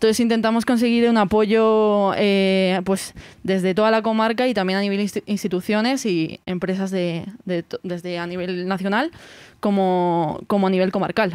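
A woman speaks at a medium pitch and a moderate pace, with fairly even intonation, in an unremarkable speaking voice. The recording is very clean, with a silent background. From Spain, Segovia province. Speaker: music festival organizer. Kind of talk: interview.

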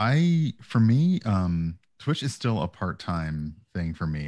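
A man with an American accent, in a dry sound with no echo and a quiet background. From US South. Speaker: streamer. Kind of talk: casual chat. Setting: video call. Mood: relaxed, reflective. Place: home room. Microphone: headset.

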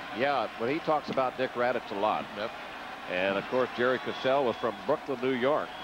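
A man speaks in an animated tone at a medium pitch, with ordinary pitch variation and noticeable background noise. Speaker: play-by-play baseball announcer. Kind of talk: live commentary. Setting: stadium broadcast booth. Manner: fast, animated play-by-play call.

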